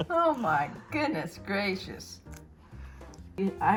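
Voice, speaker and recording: A woman's voice swings very widely in pitch over music in the background. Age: 80s+. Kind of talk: casual interview talk.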